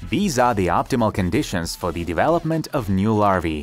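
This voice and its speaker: Over music in the background, a man with a Ukrainian accent speaks at a fairly quick pace with very wide pitch swings. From Ukraine. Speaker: DIY experiment video host. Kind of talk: documentary-style voice-over narration.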